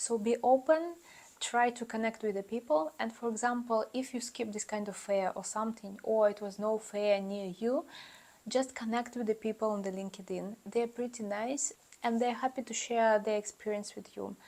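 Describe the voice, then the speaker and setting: A woman's fairly high voice with a non-native accent, at a moderate pace, with fairly even intonation. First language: not English. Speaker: YouTuber giving student advice. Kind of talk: casual vlog advice. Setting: talking to camera. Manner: hesitant, many fillers.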